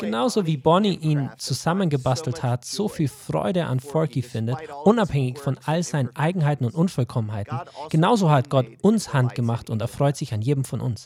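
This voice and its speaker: This man's voice sits fairly high in pitch and is somewhat breathy. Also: lively intonation, moderate pace. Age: 40s. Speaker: pastor. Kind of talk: sermon.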